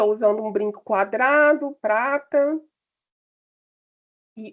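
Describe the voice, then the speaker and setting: A woman, high in pitch, with lively intonation. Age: 50s. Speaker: panelist. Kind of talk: self-description at online panel.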